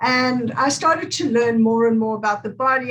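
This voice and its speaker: With a South African accent, a woman talks at a fairly high pitch and keeps her intonation fairly even. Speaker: movement therapist. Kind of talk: interview.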